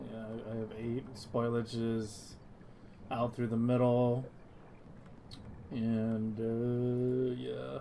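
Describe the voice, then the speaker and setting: Soft-spoken delivery at a very slow pace, with long, frequent pauses. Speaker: gaming streamer. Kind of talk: casual gaming chat. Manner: soft-spoken, quiet on stream.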